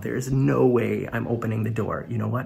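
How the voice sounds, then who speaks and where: The speaker has an American accent and a fairly quick pace. Vocal fry runs through the voice. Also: man. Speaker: comedian, YouTuber. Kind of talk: tutorial. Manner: casual, chatty.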